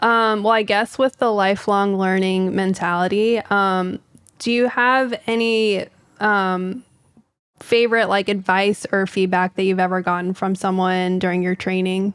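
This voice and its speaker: In an ordinary speaking voice, a woman talks at a fairly slow pace with an American accent. Her pitch is medium, its variation ordinary, and her loudness very even. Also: very clean recording, silent background. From Texas. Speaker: podcast host, physician. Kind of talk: casual podcast chat.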